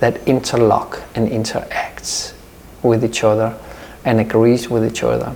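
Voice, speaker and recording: Echo from the room can be heard. There is also noticeable noise behind the voice. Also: man. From Denmark, Copenhagen suburb. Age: 50s. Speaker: yoga teacher. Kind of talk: interview. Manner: halting.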